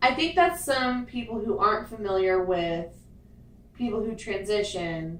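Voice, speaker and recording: A woman speaks fairly slowly with lively intonation. Room echo is audible and background noise is noticeable. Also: fairly high pitch for a woman. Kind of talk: casual chat.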